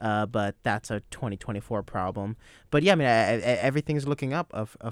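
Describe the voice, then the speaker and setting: A man with an unremarkable speaking voice talks at a fairly quick pace with ordinary pitch variation. The sound is dry and close with no echo, a very clean recording on a silent background. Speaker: soccer radio show host. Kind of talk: casual sports panel chat. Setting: radio studio.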